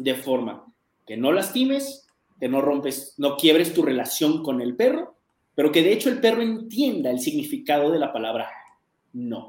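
A man at a fairly high pitch with very wide pitch swings, moderate pace. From Mexico City. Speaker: dog trainer. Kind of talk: interview conversation.

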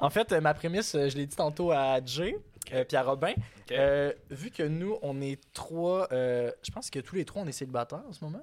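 Fairly slow speech with a Quebec accent and ordinary pitch variation, on a very clean recording with a silent background. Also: man, fairly high pitch for a man. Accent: Québécois French. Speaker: podcast host. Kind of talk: casual chat.

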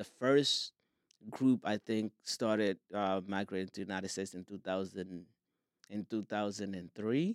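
In a Somali accent, a man with a fairly low pitch speaks at a moderate pace with fairly even intonation, on a very clean, dry, close recording with no echo and a silent background. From Somalia. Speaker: filmmaker and soccer league founder. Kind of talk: casual interview. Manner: halting, with frequent fillers.

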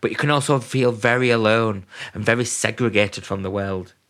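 A man at medium pitch and moderate pace, fairly even in intonation, with an ordinary speaking voice on a very clean recording with a silent background. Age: 20s. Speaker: mental health podcaster. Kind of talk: personal monologue.

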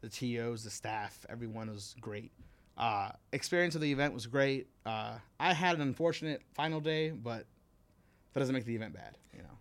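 In a very clean recording with a silent background, a man with a plain, everyday voice and an American accent speaks at a moderate pace and medium pitch with lively intonation. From Miami, Florida. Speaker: competitive gamer and coach. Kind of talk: casual chat. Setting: studio.

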